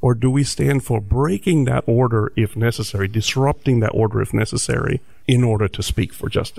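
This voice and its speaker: Talking at a fairly quick pace, a man with an American accent sounds somewhat breathy. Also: medium pitch for a man, ordinary pitch variation. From New Jersey. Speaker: professor and activist. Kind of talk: interview discussion. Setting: studio.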